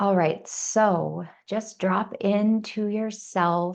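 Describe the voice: Raspy with vocal fry, a woman speaks at a medium pitch and a very slow pace. Her tone is slightly mellow and her intonation fairly even.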